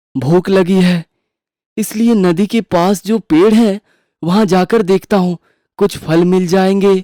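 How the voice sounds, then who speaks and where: This is a cartoonish character voice at middle pitch. It moves at a moderate pace. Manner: lively, naive.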